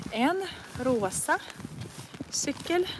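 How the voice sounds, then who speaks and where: The speech has lively intonation and a dry sound with no echo, with light background noise behind it. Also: woman. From northern Russia. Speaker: language teacher. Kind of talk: live language lesson while walking. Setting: outdoors in the rain. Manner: slow, repetitive learner-friendly speech. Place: rain. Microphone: phone near.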